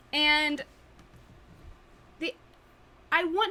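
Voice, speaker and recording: A woman's high-pitched, raised, projected voice in an East Tennessee accent. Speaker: podcast co-host. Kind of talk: casual chat.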